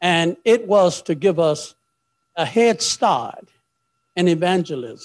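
Over a quiet background, a man speaks in a high voice with ordinary pitch variation. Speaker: preacher. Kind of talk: prayer then sermon. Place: church. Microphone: handheld.

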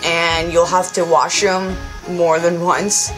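The voice keeps a moderate pace over clear music in the background. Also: woman. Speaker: cosplay vlogger. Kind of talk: casual review vlog.

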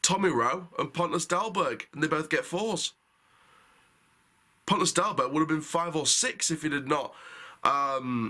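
Speaking at a moderate pace in a bright, sharp tone, a man uses ordinary pitch variation and long, frequent pauses against a quiet background. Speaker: football fan reviewer. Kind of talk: match review commentary. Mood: frustrated, critical.

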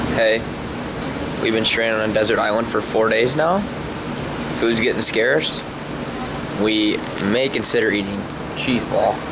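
Amid loud background noise, a man talks at a moderate pace with long, frequent pauses. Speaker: vlogger. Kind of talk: joking casual vlog chat. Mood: deadpan joking. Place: cafe. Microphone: phone near.

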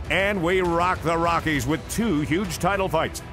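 Music plays in the background. Over it, a man talks in a high pitch. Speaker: ring announcer. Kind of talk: sports promo voiceover.

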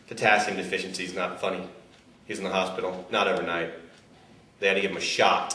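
Speaking at a fairly quick pace, a man with a very deep, low pitch is heard with audible room echo. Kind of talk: comedic mockumentary interview. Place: office.

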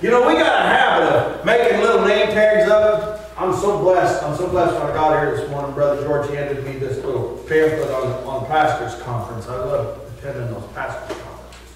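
Hardly pausing, a man talks at a fairly quick pace amid strong room echo and light background noise. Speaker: pastor. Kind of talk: sermon. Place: church.

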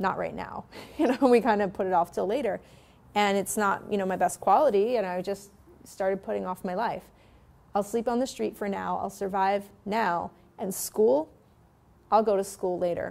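An American-accented woman at a medium pitch with vocal fry, a moderate pace and long, frequent pauses. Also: ordinary pitch variation. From New York City (the Bronx); New York City. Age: 30s. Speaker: author and motivational speaker; interview guest. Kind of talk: interview. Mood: reflective, earnest. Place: studio. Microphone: lapel.

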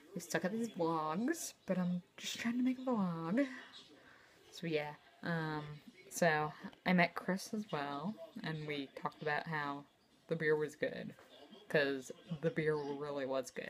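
Over light background noise, a woman speaks with lively intonation and long, frequent pauses. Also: fairly low pitch for a woman, fairly slow pace. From New Jersey. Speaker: vlogger. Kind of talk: casual vlog monologue. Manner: hesitant, many fillers. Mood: casual, slightly self-deprecating. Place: home room. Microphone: phone near.

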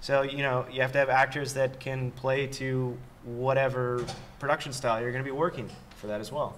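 A man with a Californian accent, medium pitch, monotone and flat intonation, and a fairly quick pace. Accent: Californian American. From Los Angeles. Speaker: performance capture supervisor. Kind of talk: panel discussion.

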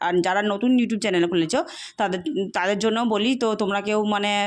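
This woman's voice sits at a medium pitch and rises and falls in an ordinary way. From Murshidabad district, West Bengal, India. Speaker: food vlogger. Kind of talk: casual vlog talk to camera. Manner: chatty, rambling.

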